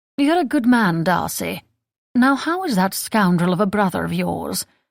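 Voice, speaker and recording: A drawling, put-on character voice, female-sounding, at medium pitch for a woman and a moderate pace, on a very clean recording with a silent background. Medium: read story. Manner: poised, drawling.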